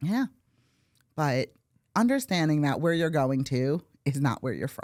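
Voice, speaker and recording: Speaking with an American accent, the voice has an animated tone and lively intonation, with long, frequent pauses and a dry, close sound with no echo. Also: woman, very deep, low pitch for a woman. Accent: Brooklyn accent, stronger when talking fast. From New York City, Brooklyn. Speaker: real estate agent. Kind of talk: podcast interview.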